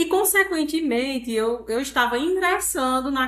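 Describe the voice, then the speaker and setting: A woman with a Ceará accent, high-pitched and fairly slow, with lively intonation. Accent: Northeastern Brazilian (Ceará). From Brazil, Ceará (Northeast). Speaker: pension fund director and digital influencer. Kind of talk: interview conversation.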